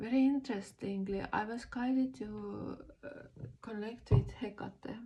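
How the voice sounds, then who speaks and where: A woman with a non-native accent speaks at a fairly slow pace in a dark, mellow, somewhat breathy voice with ordinary pitch variation. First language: not English. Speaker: spiritual vlogger. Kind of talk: casual monologue. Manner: halting, many fillers.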